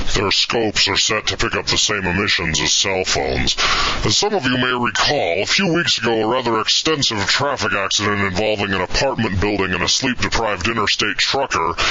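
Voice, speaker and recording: Using a put-on character voice, a man talks at a fairly quick pace and a fairly low pitch, with clear background noise. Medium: audio drama. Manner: dry, deadpan.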